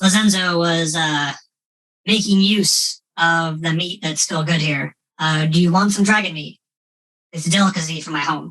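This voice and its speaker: Using a put-on character voice at a middle pitch, the speaker goes at a moderate pace with long, frequent pauses. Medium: actual play. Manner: simple speech, refers to himself in third person.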